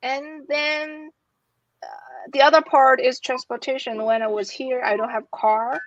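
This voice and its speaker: A woman talks at a fairly slow pace in a Chinese accent. Her pitch is high, with ordinary variation. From China. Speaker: academic with a doctorate. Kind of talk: interview. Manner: halting, repeats words.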